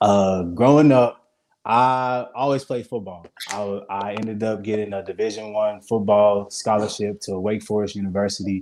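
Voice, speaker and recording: Fairly even intonation marks this man's speech at a moderate pace. His pitch sits fairly low. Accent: Mississippi. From US South, Hattiesburg, Mississippi. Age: 20s. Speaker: vegan chef. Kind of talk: interview. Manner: halting.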